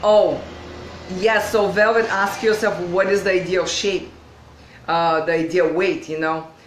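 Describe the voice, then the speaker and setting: At a fairly slow pace with long, frequent pauses, a woman of medium pitch speaks with ordinary pitch variation, with audible room echo and noticeable background noise. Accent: non-native. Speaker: video coach. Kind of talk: live online training. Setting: livestream. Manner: hesitant with fillers.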